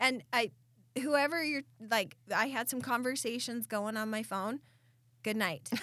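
A woman with an American accent has a bright, sharp tone and fairly high pitch. She talks at a fairly slow pace with ordinary pitch variation and long, frequent pauses. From Southeast Idaho. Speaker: podcast co-host. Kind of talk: casual chat.

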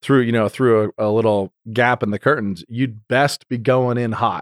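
A man with an American accent and a plain, everyday voice speaks at medium pitch and a moderate pace, his intonation fairly even. The sound is dry and close with no echo, a very clean recording with a silent background. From Idaho, US. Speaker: podcast host. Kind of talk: casual chat.

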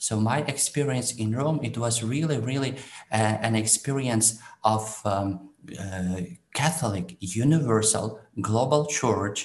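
Speaking with a Ukrainian accent, a man keeps a fairly slow pace and a medium pitch. His voice is somewhat breathy, with ordinary pitch variation. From Ukraine. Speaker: priest. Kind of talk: interview. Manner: halting.

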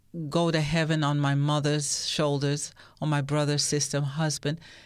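A woman with a very deep, low pitch speaks at a moderate pace with fairly even intonation and very even loudness on a very clean recording with a silent background. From England, Derbyshire (East Midlands), Jamaican parents. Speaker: radio host and editor. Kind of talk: interview testimony. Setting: studio.

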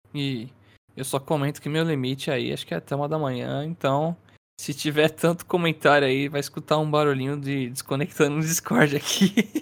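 The recording is very clean, and the background is silent. A plain, everyday voice keeps a moderate pace with fairly even intonation. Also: man, fairly high pitch for a man. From Brazil, São Paulo. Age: 20s. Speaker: podcast co-host. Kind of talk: casual chat.

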